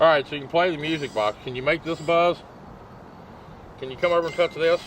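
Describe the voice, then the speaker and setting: A man with an Appalachian accent talks at a very fast pace in a fairly high pitch for a man. His intonation stays fairly even while his loudness swings widely. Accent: Southern US (Appalachian). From US South, hill country. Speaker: paranormal investigator. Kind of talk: casual chat during ghost hunt.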